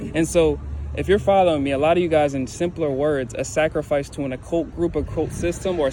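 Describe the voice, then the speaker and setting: Noticeable background noise behind a man's fairly high voice, very fast and with fairly even intonation. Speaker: spiritual tarot reader. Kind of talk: collective energy reading monologue.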